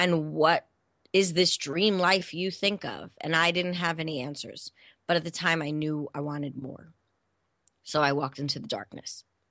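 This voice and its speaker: A woman with an American accent speaks at a moderate pace and a fairly low pitch, with ordinary pitch variation. Her tone is bright and sharp, with big swings in loudness against a quiet background. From New York City area. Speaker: transformational coach. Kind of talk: interview.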